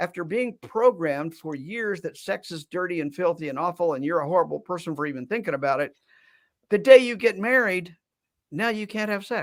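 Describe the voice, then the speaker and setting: This man has a high voice and speaks at a fairly quick pace with ordinary pitch variation. The recording is very clean, with a silent background. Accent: American. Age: 70s. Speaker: psychologist. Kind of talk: interview. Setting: live stream.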